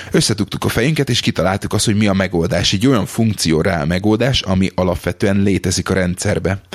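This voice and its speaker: A man speaks at a very fast pace with very even loudness. His pitch is fairly low, with ordinary variation. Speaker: podcast host, office employee. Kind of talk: casual chat. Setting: lives in England.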